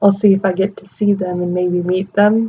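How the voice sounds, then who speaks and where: A woman with a somewhat breathy, medium-pitched voice speaks at a moderate pace. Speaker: movie reviewer. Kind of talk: casual talk to camera. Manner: whispered.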